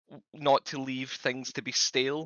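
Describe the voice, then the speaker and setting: A man talks with a Scottish accent at a medium pitch. His intonation is flat and monotone. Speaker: community member asking questions. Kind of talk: Q&A question. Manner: fast.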